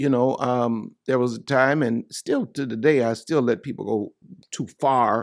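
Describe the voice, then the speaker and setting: A man's ordinary speaking voice at medium pitch, fairly even in intonation, in a very clean recording with a silent background. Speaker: pastor. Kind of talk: sermon. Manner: conversational.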